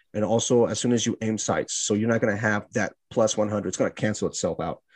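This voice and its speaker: This man has a normal speaking voice at medium pitch. He talks at a fairly quick pace against a quiet background. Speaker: podcast host. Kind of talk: casual podcast chat about a video game.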